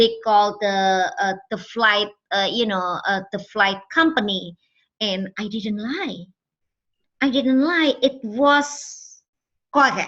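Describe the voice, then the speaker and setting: With an Indonesian accent, a woman speaks very slowly in a fairly high, bright, sharp voice with lively intonation over a quiet background. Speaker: trafficking survivor and campaigner. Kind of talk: testimony. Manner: halting, many fillers.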